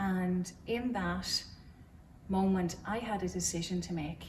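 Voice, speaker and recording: With an Irish accent and a fairly low pitch, a woman speaks in a space with audible room echo. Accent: Cavan Irish. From Ireland, County Cavan. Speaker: churchgoer sharing faith story. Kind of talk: testimony. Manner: hesitant, many fillers.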